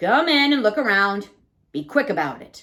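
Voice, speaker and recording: A female-sounding, put-on character voice sits at a medium pitch with very wide pitch swings. The pace is moderate. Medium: read story. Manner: apologetic, plainspoken.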